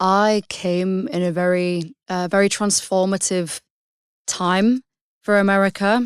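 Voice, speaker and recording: A woman speaks at a fairly slow pace with a British accent. The recording is very clean, with a silent background. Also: medium pitch for a woman, fairly even intonation, dry, close sound with no echo. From England, Hull. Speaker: singer-songwriter. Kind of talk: podcast interview.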